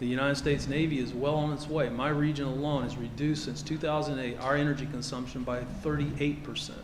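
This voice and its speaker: Amid noticeable background noise and audible room echo, a fairly high-pitched man talks at a fairly quick pace in a Kentucky accent, with monotone, flat intonation. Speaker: navy admiral. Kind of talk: ceremony speech. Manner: halting, many fillers.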